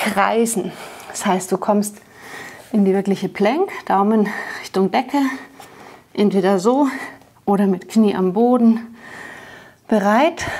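Speaking at a very slow pace with long, frequent pauses, a woman uses ordinary pitch variation. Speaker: fitness instructor. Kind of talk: workout instruction. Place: studio.

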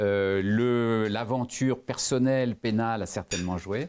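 Ordinary pitch variation in a man's voice. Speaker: lawyer and former business executive; lawyer. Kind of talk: interview; interview answer. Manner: hesitant, many fillers. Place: meeting room.

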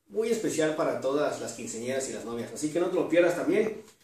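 A man speaks with a slightly mellow tone. The room around him echoes strongly.

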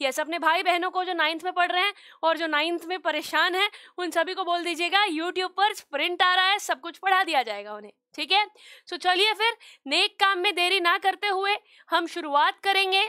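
A woman projects a raised voice with a bright, sharp tone and ordinary pitch variation. She keeps a moderate pace over a quiet background. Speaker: online teacher. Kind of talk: lecture. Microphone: headset.

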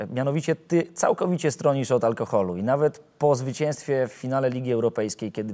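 Speaking at a very fast pace, a man uses a dark, mellow tone with ordinary pitch variation. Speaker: sports journalist. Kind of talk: interview questions. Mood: friendly, smiling. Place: hall. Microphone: lapel.

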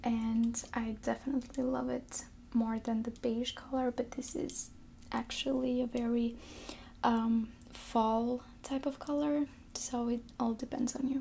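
A woman's soft-spoken whispering over light background noise. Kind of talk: ASMR nail salon receptionist roleplay. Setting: roleplay as a nail salon front desk. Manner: soft-spoken, whispery. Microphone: earbuds.

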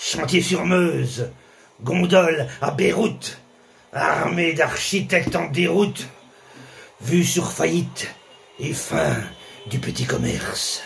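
Against noticeable background noise, a man talks at a very slow pace with long, frequent pauses. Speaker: spoken word poet. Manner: rhythmic, punchy, staccato delivery; biting, sarcastic, angry tone.

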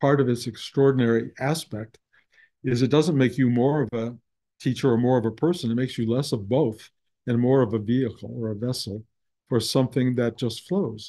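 Against a quiet background, a man talks fairly quickly in a dark, mellow tone. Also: fairly even intonation. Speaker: spiritual teacher. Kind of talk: talk to students. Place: home room. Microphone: webcam.

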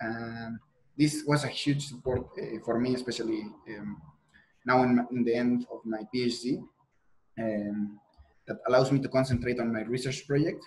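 Pausing often and at length, a man speaks at a moderate pace in a medium pitch with fairly even intonation. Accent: Mexican. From Mexico. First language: Spanish. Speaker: PhD student and teaching assistant in structural engineering; guest. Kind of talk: podcast interview. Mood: friendly, relaxed. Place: home room. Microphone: earbuds.

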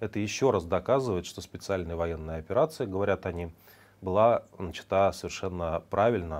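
At a moderate pace, a man speaks with a very deep, low voice and ordinary pitch variation. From Russia. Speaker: news commentary host. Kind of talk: news commentary monologue. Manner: conversational, with filler hesitations. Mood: ironic, critical. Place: studio.

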